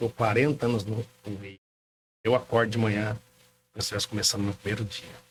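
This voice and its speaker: A man speaks very fast in a fairly low, monotone, flat voice. He takes long, frequent pauses, and his loudness swings a lot. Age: 60s. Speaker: car dealership owner. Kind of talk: podcast interview.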